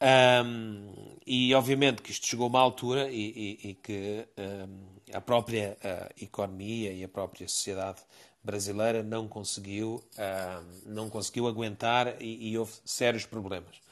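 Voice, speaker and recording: The delivery is fairly slow, with fairly even intonation and big swings in loudness. The background is quiet. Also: man, medium pitch for a man. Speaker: participant in a live audio discussion room. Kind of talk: casual discussion. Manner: halting, many repetitions and fillers.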